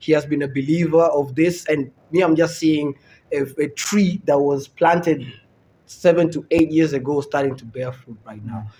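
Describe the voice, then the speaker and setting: In an American accent, a man with a fairly high pitch and a dark, mellow, somewhat breathy tone speaks at a moderate pace with ordinary pitch variation and big swings in loudness. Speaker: comedian. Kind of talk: casual chat.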